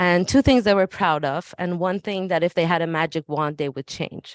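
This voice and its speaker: A woman's medium-pitched voice with a slight Persian accent and ordinary pitch variation, dry and close with no echo, against a quiet background. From Iran. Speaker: school administrator. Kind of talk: presentation at a public meeting. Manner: hesitant, many fillers.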